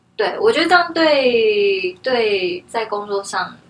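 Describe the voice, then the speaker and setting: A woman's fairly high voice swings very widely in pitch, with noticeable background noise behind her. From Taiwan. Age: 30s. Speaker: herbal tea brand founder. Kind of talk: interview.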